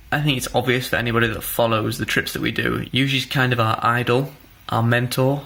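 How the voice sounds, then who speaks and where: Against noticeable background noise, a man of medium pitch talks at a fairly quick pace in a monotone, flat intonation. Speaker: climber and vlogger. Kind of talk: casual vlog talk.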